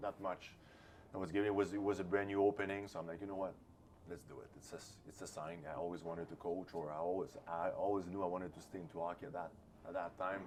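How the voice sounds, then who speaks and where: A man's very deep, low voice with a Quebec French accent, very fast pace, fairly even intonation and big swings in loudness, amid noticeable background noise. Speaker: hockey assistant coach. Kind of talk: interview. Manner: halting.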